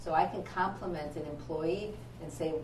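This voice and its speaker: A woman speaks with a very deep, low pitch. Audible room echo and noticeable background noise are present. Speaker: optometrist. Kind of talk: seminar talk. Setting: presentation to audience of parents.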